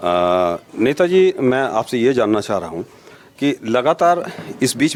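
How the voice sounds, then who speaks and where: A man's voice swings very widely in pitch. Noticeable background noise is present. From Barabanki area, Uttar Pradesh. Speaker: local journalist. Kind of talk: interview. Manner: halting, many fillers.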